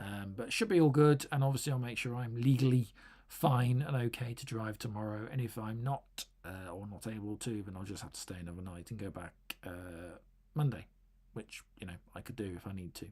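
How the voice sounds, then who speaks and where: The speaker has an English accent. The pace is fairly quick. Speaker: tech YouTuber. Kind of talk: live stream chat. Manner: halting, many fillers.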